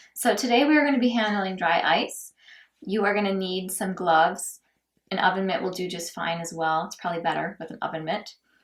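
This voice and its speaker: A woman in an American accent, medium pitch, fairly quick pace, ordinary pitch variation and big swings in loudness. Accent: Midwestern, being suppressed. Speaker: lifestyle and cocktail blogger. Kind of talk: tutorial. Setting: outdoors, then back indoors.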